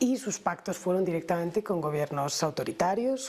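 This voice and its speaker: A woman speaks with a Spanish accent. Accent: Spanish (Spain). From Spain. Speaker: human rights lawyer. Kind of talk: TV interview.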